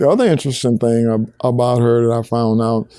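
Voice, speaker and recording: A man with a Southern US accent speaks at a fairly quick pace in a dark, mellow tone. The recording is very clean with a silent background. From Alabama. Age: 70s. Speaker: museum founder. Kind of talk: interview answer.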